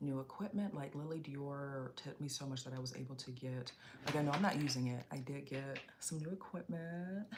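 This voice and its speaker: A woman with a very deep, low, somewhat breathy voice speaks at a moderate pace. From Chicago area, US Midwest. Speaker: fashion and beauty streamer. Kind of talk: casual live stream chat.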